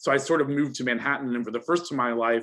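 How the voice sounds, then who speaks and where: Speaking at a very fast pace with an American accent, a man uses a fairly high pitch and ordinary pitch variation against a quiet background. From US (New York area). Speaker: lawyer, panellist. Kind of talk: panel discussion.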